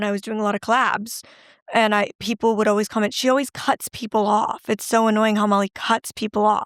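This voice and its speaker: A woman's fairly high, monotone voice with flat intonation, on a very clean recording with a silent background. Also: dry, close sound with no echo. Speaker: YouTuber and podcast host. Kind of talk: casual chat. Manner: loud.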